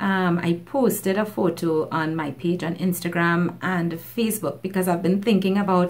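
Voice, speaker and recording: In a Trinidadian accent, a woman speaks at a medium pitch with ordinary pitch variation. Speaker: beauty YouTuber. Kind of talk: makeup tutorial talk to camera.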